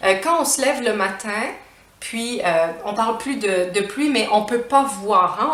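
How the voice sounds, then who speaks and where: With a Quebec accent, a woman speaks very slowly in a fairly high pitch and lively intonation, against noticeable background noise. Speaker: French teacher. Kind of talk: language lesson to camera.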